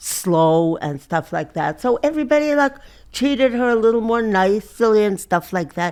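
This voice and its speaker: On a very clean recording with a silent background, a woman speaks at a moderate pace in a fairly high pitch with very wide pitch swings. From Europe. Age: 80s+. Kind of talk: interview answer.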